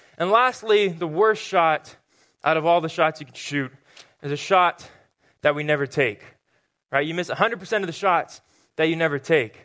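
In a very clean recording with a silent background, a man with an American accent speaks at a fairly high pitch in a bright, sharp tone, at a moderate pace with ordinary pitch variation, long, frequent pauses and big swings in loudness. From Southern California. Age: 20s. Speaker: youth pastor. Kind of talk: sermon. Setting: church stage with congregation.

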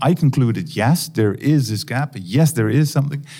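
Fairly quick and lively in intonation, a man with a Dutch accent speaks in a dark, mellow, somewhat breathy tone. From Netherlands. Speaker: academic researcher. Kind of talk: interview. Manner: halting.

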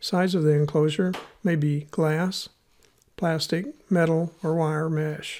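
The speaker talks very slowly in an American accent, with long, frequent pauses. The recording is very clean, with a silent background. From US Midwest (Missouri). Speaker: podcast host, animal handling educator. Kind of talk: scripted educational podcast narration.

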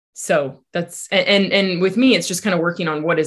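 Her pitch moves in an ordinary way. This woman talks very fast. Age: 40s. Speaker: life coach. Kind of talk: interview.

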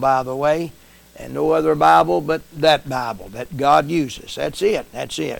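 An unremarkable speaking voice at a moderate pace with an American accent and ordinary pitch variation. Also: man. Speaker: preacher and podcast host. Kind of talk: sermon intro and closing.

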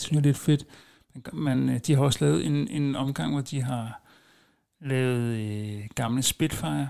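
Speaking very slowly at a medium pitch, a man uses lively intonation in a dark, mellow tone. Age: 40s. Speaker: podcast host. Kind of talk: casual monologue. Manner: hesitant, many filler sounds.

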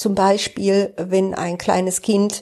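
Very slowly and in a monotone, flat intonation, a woman with a medium pitch and a dark, mellow tone speaks over a quiet background. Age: 60s. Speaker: podcaster and job coach. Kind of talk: personal monologue. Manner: casual, with many fillers.

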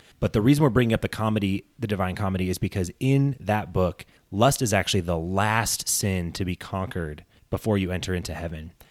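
A man with a very deep, low pitch talks at a fairly quick pace with ordinary pitch variation. The recording is very clean, dry and close, with a silent background and no echo. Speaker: podcast co-host. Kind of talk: casual chat.

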